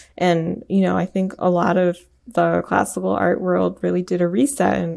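With an American accent, a woman speaks at a moderate pace in a fairly low pitch, dark and mellow in tone, with ordinary pitch variation. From US Midwest, Michigan. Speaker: composer. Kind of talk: interview.

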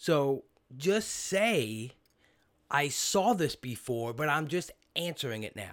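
A man with an American accent speaks very slowly in a fairly high voice, with long, frequent pauses and very wide pitch swings. The recording is very clean, with a silent background. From New York City (Brooklyn). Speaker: podcast host. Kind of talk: casual interview; podcast intro.

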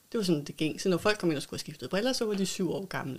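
Lively intonation marks this woman's speech. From North Zealand, Denmark. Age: 50s. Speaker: optician and local politician. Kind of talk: interview. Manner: hesitant with fillers.

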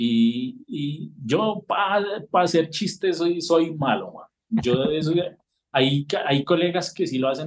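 Speaking very slowly, a man with a fairly high pitch makes very wide pitch swings. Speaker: political cartoonist. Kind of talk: casual interview.

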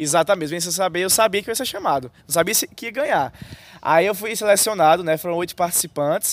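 In a northeastern Brazilian accent, a man speaks very fast at a high pitch with ordinary pitch variation. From Brazil, Paraíba (Northeast). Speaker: youtuber and student. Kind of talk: casual interview. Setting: outdoors in a university square.

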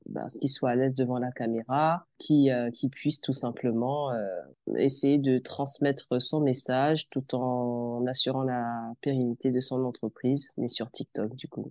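A woman's very deep, low voice, very slow and monotone, flat in intonation, with a dry, close sound with no echo and a quiet background. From France, Beninese family. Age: 20s. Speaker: communication consultant and tea room owner. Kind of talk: interview. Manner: hesitant, many fillers.

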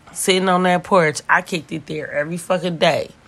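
A woman speaks in an animated tone. Noticeable background noise is present. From Oakland, California. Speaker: podcast co-host. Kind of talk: casual chat.

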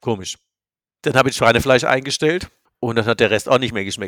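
Recorded very cleanly against a silent background, with a dry, close sound and no echo, a man talks at a very fast pace, medium pitch and ordinary pitch variation. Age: 60s. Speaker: business coach. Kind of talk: casual chat.

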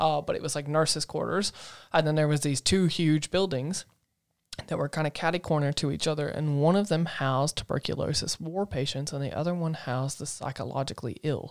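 The speaker has a Southern US accent and a fairly quick pace. The recording is very clean, with a silent background. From US South, Asheville, North Carolina. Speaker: podcast co-host. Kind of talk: casual chat.

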